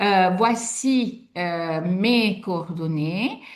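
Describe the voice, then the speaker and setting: The speaker has an Italian accent, and the room echo is audible. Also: woman. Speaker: sophrologist and art workshop facilitator. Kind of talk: online workshop presentation. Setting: video call webinar. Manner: hesitant, many fillers.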